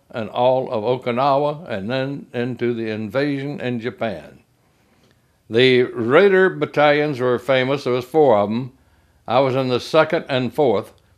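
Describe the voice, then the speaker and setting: Here a man speaks with a Southern US accent at a medium pitch and a fairly slow pace. His pitch variation is ordinary, and the background is quiet. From US South, Mississippi. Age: 80s+. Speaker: war veteran. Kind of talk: oral history interview. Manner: halting.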